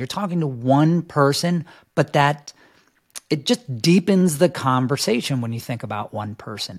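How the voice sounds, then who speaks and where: Speaking in an American accent with a plain, everyday voice, a man uses lively intonation at a moderate pace and a fairly high pitch. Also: dry, close sound with no echo. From New York City. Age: 50s. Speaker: fitness video director and trainer coach. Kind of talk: podcast interview.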